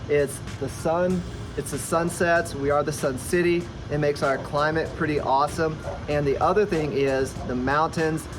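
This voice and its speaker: With music in the background and audible room echo, a man speaks at a fairly high pitch with fairly even intonation. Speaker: real estate agent. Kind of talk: casual vlog talk to camera. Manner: fast; filler-heavy, repeats words.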